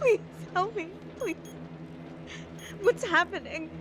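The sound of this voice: Slowly and with ordinary pitch variation, the speaker puts on a character voice with a fairly bright tone over faint background noise. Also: woman, extremely high pitch for a woman.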